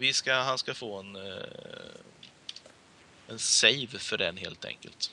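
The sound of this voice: A man with a fairly low pitch and a bright, sharp tone. His pitch varies in an ordinary way.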